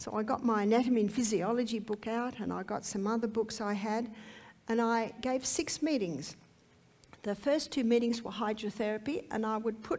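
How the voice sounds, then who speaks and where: With an Australian accent, a woman speaks at a fairly high pitch. Her pace is moderate and her pitch variation ordinary. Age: 60s. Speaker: health lecturer. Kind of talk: testimony.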